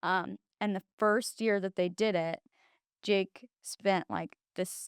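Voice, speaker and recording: With a Midwestern American accent, a woman speaks at a very slow pace and fairly even intonation. The sound is dry and close with no echo. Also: medium pitch for a woman. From Illinois. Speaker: university staff member. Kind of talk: casual chat. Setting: studio. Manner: loud.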